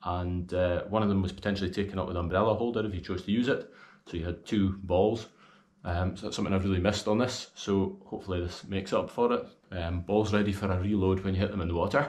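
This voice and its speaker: Speaking very fast with a Scottish accent, a man keeps his intonation fairly even. His voice sits fairly low. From Scotland. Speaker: golf gear reviewer. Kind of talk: video review. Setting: outdoors. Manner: casual. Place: home room.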